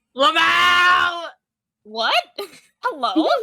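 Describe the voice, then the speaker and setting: Someone shouts in a high-pitched, put-on character voice. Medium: actual play.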